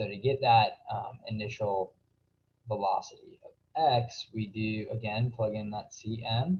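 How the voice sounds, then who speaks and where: A man's medium-pitched, somewhat breathy voice at a fairly slow pace, with big swings in loudness. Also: ordinary pitch variation. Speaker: physics tutor. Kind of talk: tutorial. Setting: screen recording. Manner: hesitant, many fillers.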